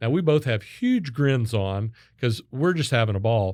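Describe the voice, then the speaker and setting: An unremarkable speaking voice from a man at medium pitch and moderate pace, in a very clean recording with a silent background. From Kansas (Wichita). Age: 60s. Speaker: sales consultant and keynote speaker. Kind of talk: podcast interview.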